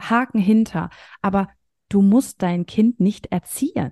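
The voice has a dark, mellow tone and ordinary pitch variation, moving at a very slow pace in a dry, close sound with no echo. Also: woman. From northern Germany, near Hamburg. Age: 30s. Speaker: coach for mothers. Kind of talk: interview conversation.

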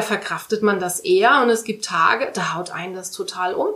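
A woman's fairly high voice at a moderate pace, with ordinary pitch variation, a plain, everyday voice. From Saarland, Saarbrücken. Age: 30s. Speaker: volunteer firefighter. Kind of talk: interview.

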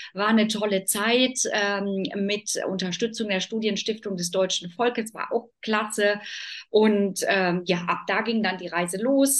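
A woman speaks at a fairly high pitch and a moderate pace, her intonation fairly even. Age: 40s. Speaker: decision-making expert and business consultant. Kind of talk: interview.

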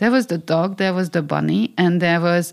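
A woman speaks at a medium pitch with a Hungarian accent. The recording is very clean, with a silent background. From Hungary. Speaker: media scholar and former regulator. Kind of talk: interview. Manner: halting.

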